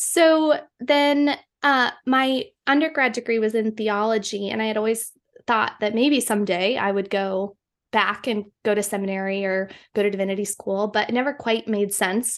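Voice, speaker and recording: Against a quiet background, a woman speaks in an unremarkable speaking voice at a moderate pace. Her pitch is fairly high, with ordinary pitch variation. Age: 30s. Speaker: producer and writer. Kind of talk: casual chat.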